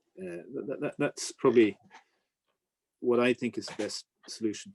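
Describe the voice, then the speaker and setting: At a moderate pace, a man speaks with an Irish accent and lively intonation. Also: medium pitch for a man. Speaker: newspaper editor and business commentator. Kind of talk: Q&A talk. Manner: halting, many repetitions.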